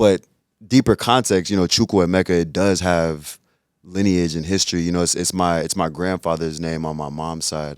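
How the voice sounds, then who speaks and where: With an American accent, a man talks at a very deep, low pitch and a moderate pace. His intonation is fairly even, and the recording is very clean with a silent background. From US, first-generation Nigerian family. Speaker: artist and art advisor. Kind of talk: casual interview chat.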